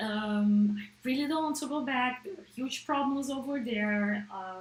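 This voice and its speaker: A woman with a Portuguese accent speaks at a high pitch and a fairly slow pace, her intonation lively, over noticeable background noise. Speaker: app developer and livestreamer. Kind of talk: casual livestream chat. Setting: livestream. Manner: hesitant, with fillers and restarts.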